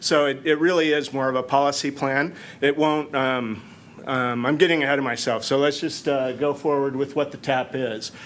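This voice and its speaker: Audible room echo surrounds a man speaking at a fairly high pitch. He keeps a moderate pace and fairly even intonation. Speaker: city planning manager. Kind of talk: conference presentation. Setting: conference room with audience. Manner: loud.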